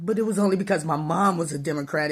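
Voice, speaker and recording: A somewhat breathy woman's voice with an American accent and ordinary pitch variation. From Chicago, US Midwest. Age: 60s. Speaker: vlogger. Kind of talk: personal opinion monologue.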